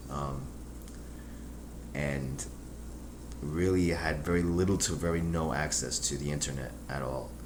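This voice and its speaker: Through audible room echo and noticeable background noise, a man speaks at a very deep, low pitch with ordinary pitch variation. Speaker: YouTube vlogger. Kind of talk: casual vlog monologue. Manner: halting, many fillers.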